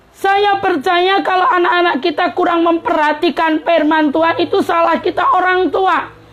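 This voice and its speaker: A shrill voice with hardly any pauses and very even loudness, against noticeable background noise. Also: woman, extremely high pitch for a woman, ordinary pitch variation, moderate pace. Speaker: preacher. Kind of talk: sermon. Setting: live-streamed broadcast.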